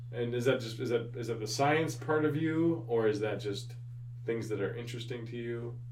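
Here is a man with an American accent and a normal speaking voice at medium pitch. He speaks at a moderate pace with fairly even intonation. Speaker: podcast host and high school teacher. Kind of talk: casual interview conversation.

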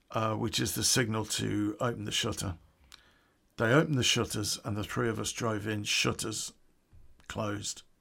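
Recorded very cleanly against a silent background, a man with a West Midlands accent speaks with long, frequent pauses. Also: moderate pace. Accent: English Midlands (Coventry). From England, Coventry. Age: 50s. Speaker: podcast storyteller. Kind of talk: true crime storytelling.

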